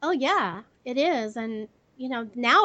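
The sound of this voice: A woman speaks with a fairly high pitch and a fairly bright tone.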